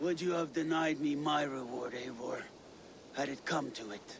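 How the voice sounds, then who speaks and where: A raspy, put-on character voice moves at a moderate pace with ordinary pitch variation. Clear background noise runs underneath. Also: man, fairly high pitch for a man. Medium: video game. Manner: solemn.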